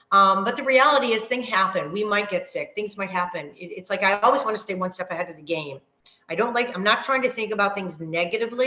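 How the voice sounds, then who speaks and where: With a medium pitch and ordinary pitch variation, a woman talks at a fairly quick pace in an animated tone. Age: 50s. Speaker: fitness coach. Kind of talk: online workshop talk. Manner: fast.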